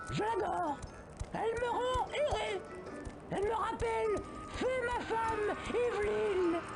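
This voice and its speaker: Over loud music in the background, a man performs a put-on character voice at a fairly slow pace with long, frequent pauses. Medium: video game.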